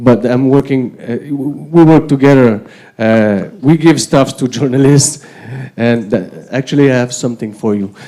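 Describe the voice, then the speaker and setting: The man's voice sits at a medium pitch and moves in an ordinary way. He keeps a moderate pace. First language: not English. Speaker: politician. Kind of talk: panel discussion. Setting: conference with audience.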